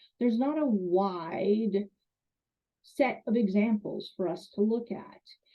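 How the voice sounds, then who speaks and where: A woman speaks at a very slow pace. Her pitch is medium, with ordinary variation. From Canada. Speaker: college instructor. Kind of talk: lecture.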